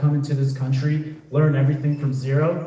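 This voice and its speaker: A man talks in a fairly high pitch over noticeable background noise. Audible room echo surrounds his voice. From Dover, New Jersey (born in Colombia, arrived age four). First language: Spanish. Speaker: political candidate. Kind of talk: candidate debate speech. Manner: casual, off-script.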